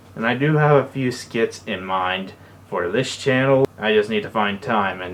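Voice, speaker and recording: Over noticeable background noise, a man with a fairly low voice speaks at a fairly slow pace. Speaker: YouTuber. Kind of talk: vlog update. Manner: stutters when explaining; casual.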